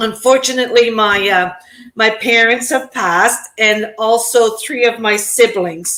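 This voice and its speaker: A woman talks at a fairly slow pace with a fairly high pitch and fairly even intonation. Her loudness stays very even over noticeable background noise. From Prince Edward Island, Canada (Acadian French). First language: French. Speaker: digital business owner. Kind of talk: interview.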